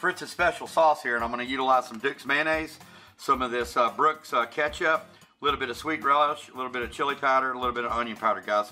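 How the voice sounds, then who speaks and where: At a very fast pace, a man speaks with ordinary pitch variation and big swings in loudness, faint music in the background. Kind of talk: casual cooking tutorial. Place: kitchen.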